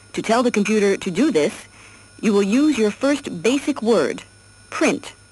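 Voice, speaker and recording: A woman speaks at a moderate pace with a fairly high pitch. Her intonation is lively, with light background noise behind her. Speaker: narrator of educational software. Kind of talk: 1979 instructional cassette narration, scripted. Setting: computer cassette audio track played through a tape recorder. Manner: formal, even-paced, clear and instructive; measured, step-by-step, impersonal. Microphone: old recording.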